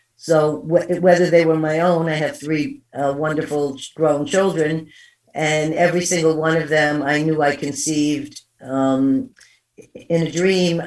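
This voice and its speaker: Speaking in a New York accent at a fairly slow pace, a woman has a very deep, low pitch and fairly even intonation. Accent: East Coast US, New York. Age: 60s. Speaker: psychic medium. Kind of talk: interview storytelling.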